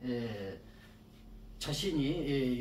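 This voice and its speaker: At a medium pitch with ordinary pitch variation, a man speaks amid audible room echo. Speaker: saju fortune-telling lecturer. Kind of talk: lecture. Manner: halting, many fillers and repetitions.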